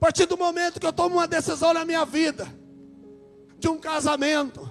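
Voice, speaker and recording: An extremely high-pitched man's voice at a moderate pace. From Brazil, Minas Gerais. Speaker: preacher. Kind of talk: sermon.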